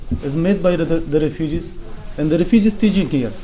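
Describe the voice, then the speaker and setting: Noticeable background noise sits behind a man's voice. He talks at a high pitch and a fairly quick pace. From Afghanistan. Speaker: refugee. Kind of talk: testimony. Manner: halting.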